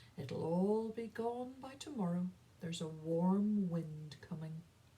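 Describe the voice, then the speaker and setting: A put-on character voice, female-sounding, at a middle pitch and a fairly slow pace. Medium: read story. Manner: matter-of-fact.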